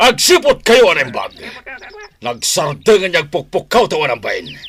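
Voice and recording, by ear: In a put-on character voice with a fairly bright tone and a slightly husky edge, the speaker moves at a fairly slow pace through very wide pitch swings. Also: man, fairly high pitch for a man.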